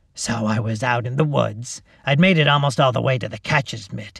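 In a put-on character voice, a man speaks raspy and at a fairly quick pace, his pitch medium. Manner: uncaring, offhand.

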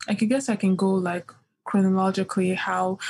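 A woman's dark, mellow, somewhat breathy voice with fairly even intonation, on a very clean recording with a silent background. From Nigeria (Yoruba, Ibadan). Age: young. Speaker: poet. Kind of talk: interview conversation. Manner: hesitant, many fillers.

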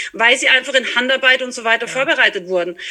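Over noticeable background noise, a woman speaks in a raised, projected voice with ordinary pitch variation. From Austria, small mountain village. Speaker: horse trainer and equine therapist. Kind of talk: casual interview.

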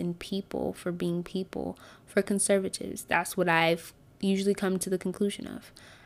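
On a very clean recording with a silent background, a woman speaks in a flat monotone. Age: 20s. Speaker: podcast host. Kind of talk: solo podcast monologue on faith and politics. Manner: frequent filler words and hesitations.

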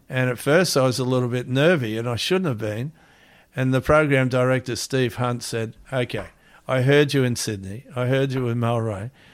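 On a very clean recording with a silent background, a man with an Australian accent speaks at a moderate pace in a medium pitch with fairly even intonation. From Australia, Melbourne and Gold Coast. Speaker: former pro surfer and radio surf reporter. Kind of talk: interview storytelling.

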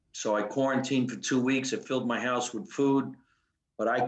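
Here a man speaks at a medium pitch with a New Jersey accent. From New Jersey, US. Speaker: comedian. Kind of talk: casual chat.

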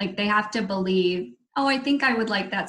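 A woman with an American accent has a plain, everyday voice at a medium pitch. Her intonation is lively and her pace moderate. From DC, Maryland, Virginia area. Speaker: candle maker with a side business. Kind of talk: casual interview chat. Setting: video call.

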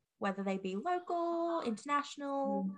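With an Australian accent, a woman speaks using lively intonation. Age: 20s. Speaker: podcast host. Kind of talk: casual chat; scripted intro and outro. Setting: video call.

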